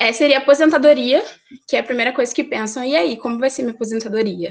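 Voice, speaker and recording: The pitch moves in an ordinary way. A woman delivers her words fairly quickly. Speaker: accountant. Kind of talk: presentation. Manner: fast; hesitant, many fillers.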